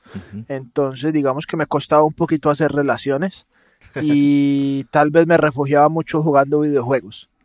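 A man speaks with a fairly high pitch and fairly even intonation. His pace is moderate, and the sound is dry and close with no echo. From Colombia, Medellín (paisa). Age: 30s. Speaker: entrepreneur. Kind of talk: interview conversation.

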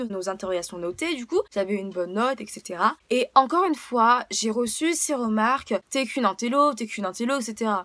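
At a moderate pace, a woman speaks with a bright, sharp tone, fairly high pitch and lively intonation. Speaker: podcaster. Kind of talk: testimony. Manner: emotional.

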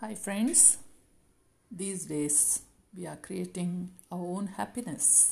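The voice has a dark, mellow tone and is somewhat breathy, moving at a very slow pace with long, frequent pauses and ordinary pitch variation. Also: woman, medium pitch for a woman. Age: 60s. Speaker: life coach. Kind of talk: motivational talk.

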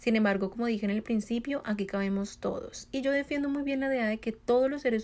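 Her pitch varies in an ordinary way as a woman uses an ordinary speaking voice. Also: very clean recording, silent background. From Colombia. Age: 20s. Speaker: podcast host. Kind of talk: solo monologue, motivational talk.

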